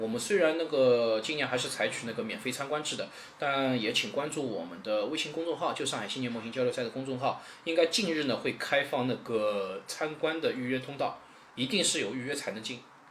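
Amid noticeable background noise, a man with a fairly high pitch talks at a fairly quick pace with lively intonation. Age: 30s. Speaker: model contest organizer. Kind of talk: casual interview chat.

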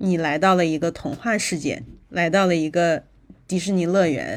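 This woman has a normal speaking voice with fairly low pitch. Her intonation stays fairly even. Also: very clean recording, silent background. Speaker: podcast co-host. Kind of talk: casual chat.

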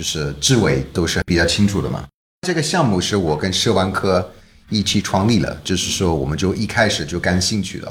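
A man with a very deep, low pitch and an English accent, lively intonation, a fairly quick pace, and audible room echo. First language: English (speaking Chinese). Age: 40s. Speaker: documentary director. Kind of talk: casual interview. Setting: office.

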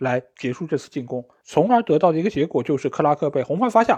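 Fairly quick man's voice with very wide pitch swings, a dry, close sound with no echo, and a quiet background. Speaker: football podcast host. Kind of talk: solo match review commentary.

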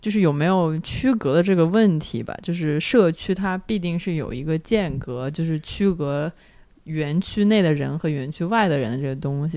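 A woman with a very deep, low pitch, a dark, mellow tone, ordinary pitch variation and a moderate pace. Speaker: podcast host. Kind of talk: casual chat.

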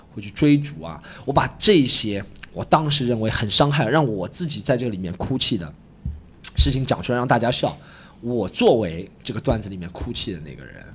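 Animated and somewhat breathy, a man of medium pitch speaks with lively intonation. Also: big swings in loudness. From Shanghai. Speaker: stand-up comedian. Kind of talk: casual interview chat. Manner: animated, joking.

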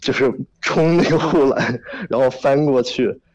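A man with a normal speaking voice at a fairly high pitch, talking at a fairly slow pace. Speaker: music festival attendee, caller. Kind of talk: casual phone conversation. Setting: phone call.

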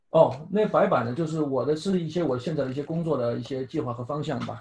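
The voice moves at a fairly quick pace with a dark, mellow tone. It is somewhat breathy, with ordinary pitch variation. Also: man. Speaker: speech-language therapist and English pronunciation coach. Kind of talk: casual interview chat.

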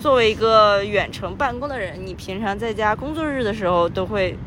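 Speaking at a moderate pace, a woman has a fairly high pitch and ordinary pitch variation. Noticeable background noise and audible room echo are present. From Qingdao, Shandong, China. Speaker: podcast co-host, remote worker. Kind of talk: casual chat. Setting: outdoors, recorded while walking.

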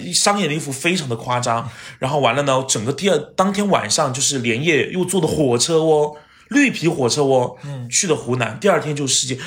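At a fairly high pitch and a fairly quick pace, a man speaks in an animated tone with ordinary pitch variation, audible room echo and noticeable background noise. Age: 30s. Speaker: TV host and actor. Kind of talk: casual chat. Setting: at his home.

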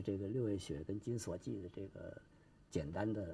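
With a fairly low pitch and a dark, mellow tone, a man speaks somewhat breathily and with ordinary pitch variation. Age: old. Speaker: Peking opera expert. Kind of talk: interview commentary. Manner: halting, many fillers.

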